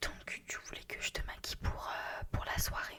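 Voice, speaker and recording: Noticeable background noise runs beneath a woman whispering at a fairly slow pace. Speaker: ASMR creator. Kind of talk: ASMR roleplay, casual chat to a friend while doing makeup. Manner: friendly, chatty, conversational.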